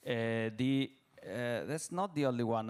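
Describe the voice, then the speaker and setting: A man with an Italian accent speaks at a fairly slow pace and medium pitch with ordinary pitch variation, in a very clean recording with a silent background. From Italy. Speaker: company CEO, panelist. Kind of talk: panel discussion. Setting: stage with audience. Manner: halting, many fillers.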